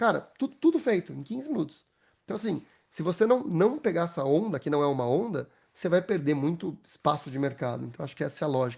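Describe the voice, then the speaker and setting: A man talks at a very fast pace and high pitch. His pitch swings are very wide. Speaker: AI consultant and speaker. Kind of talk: webinar presentation.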